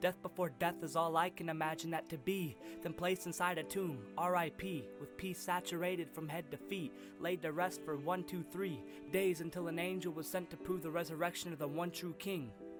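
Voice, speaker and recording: Music plays behind a man with a fairly high pitch. He keeps a moderate pace with hardly any pauses. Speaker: spoken word poet. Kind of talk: spoken word poetry.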